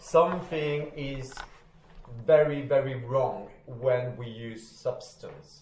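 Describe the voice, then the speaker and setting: A man with a French accent, fairly high in pitch, very slow, amid audible room echo and noticeable background noise. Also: fairly even intonation. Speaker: recovery study group leader. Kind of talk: group study session.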